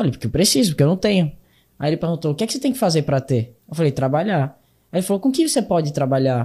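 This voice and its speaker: The voice has a dark, mellow tone and very wide pitch swings. It moves at a very fast pace. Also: man, fairly high pitch for a man. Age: 20s. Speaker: young entrepreneur and speaker. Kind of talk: interview.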